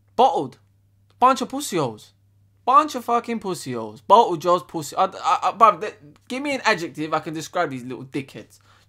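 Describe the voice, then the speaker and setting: A man speaks in an angry tone at a fairly quick pace over a quiet background. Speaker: football fan youtuber. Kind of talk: furious profane football rant, shouting and swearing at the team and manager. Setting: solo video to camera. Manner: loud, angry, ranting, packed with swearing and slang. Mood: angry and frustrated. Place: home room. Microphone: webcam.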